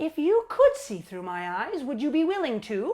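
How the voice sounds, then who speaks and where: Putting on a character voice, a woman talks at a moderate pace with a high pitch and very wide pitch swings. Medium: stage play. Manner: exasperated, pleading.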